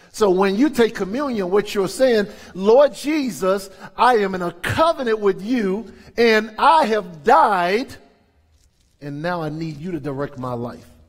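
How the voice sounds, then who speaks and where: In an American accent, a man speaks fairly slowly and high for a man, with an animated tone, very wide pitch swings and big swings in loudness against a quiet background. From US South, New Orleans; Louisiana. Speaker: pastor. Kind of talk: sermon. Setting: church. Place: church. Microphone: headset.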